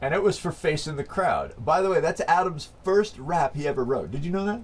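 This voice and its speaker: An animated man with a high pitch, ordinary pitch variation and a fairly quick pace, over noticeable background noise. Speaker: band member, rapper and singer. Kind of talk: interview. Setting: quiet room, on camera.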